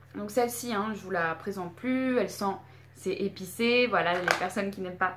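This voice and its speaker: A woman with lively intonation talks at a moderate rate as noticeable noise carries on in the background. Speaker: beauty and candle youtuber. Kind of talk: product review vlog. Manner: hesitant, many fillers.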